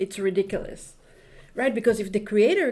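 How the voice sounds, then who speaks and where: At a moderate pace, the speaker's voice is somewhat breathy, in an Israeli accent. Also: woman. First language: Hebrew. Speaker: Kabbalah and astrology teacher. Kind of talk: spiritual lecture. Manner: halting, many repetitions and fillers.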